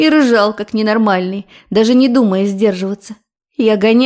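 The pitch varies in an ordinary way through a natural reading voice. Nothing much is heard behind it, just a quiet background.

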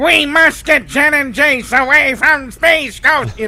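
Against light background noise, a high-pitched put-on character voice speaks at a fairly slow pace. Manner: theatrical, melodramatic.

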